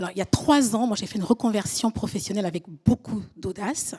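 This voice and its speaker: A woman's lively intonation comes through with a dry, close sound and no echo. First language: French. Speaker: audience member, private chef. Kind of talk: audience question.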